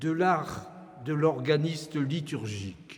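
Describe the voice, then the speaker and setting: Against noticeable background noise and audible room echo, a man talks with lively intonation. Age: 80s+. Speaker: organist and retired professor. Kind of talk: concert introduction speech. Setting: church with audience. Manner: formal.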